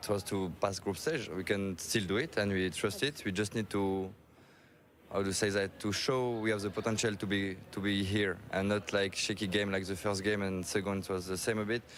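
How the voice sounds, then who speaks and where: With a French accent, a man talks at a moderate pace and fairly low pitch, keeping his intonation fairly even. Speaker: esports player. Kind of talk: interview. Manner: halting.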